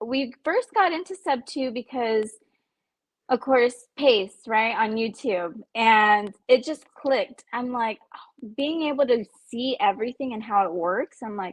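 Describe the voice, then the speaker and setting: Speaking with an American accent, a woman uses a high pitch and lively intonation, her loudness swinging widely. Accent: Texan accent, stronger when excited. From Central Texas. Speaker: stay-at-home mother learning real estate underwriting. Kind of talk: casual interview.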